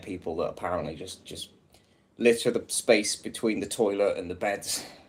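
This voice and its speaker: A fairly quick pace from a man in an English accent. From England. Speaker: livestreamer reading a book aloud. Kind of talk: casual chat; reading aloud.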